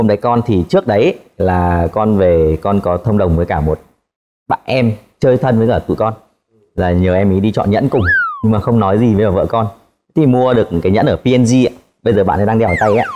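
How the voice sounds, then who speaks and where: Over noticeable background noise, a man speaks at a fairly low pitch with ordinary pitch variation and very even loudness. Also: fairly quick pace. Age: 20s. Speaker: engineer. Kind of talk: casual chat. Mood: cheerful, animated. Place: studio.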